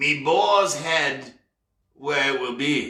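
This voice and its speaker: The speaker uses a put-on character voice. It sounds croaky. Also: man. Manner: secretive, croaking, talking from one side of the mouth.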